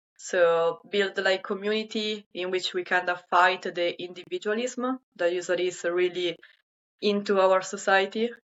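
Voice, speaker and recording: A woman speaks with an Italian accent at a medium pitch. Her pace is moderate and her intonation fairly even. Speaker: sustainability volunteer. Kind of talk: interview. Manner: hesitant, many fillers.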